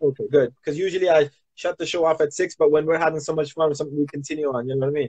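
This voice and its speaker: A man talking at a very fast pace, fairly high-pitched and somewhat breathy, in a flat monotone. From Canada, Toronto. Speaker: music artist and talk show host. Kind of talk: casual chat. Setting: Instagram live stream.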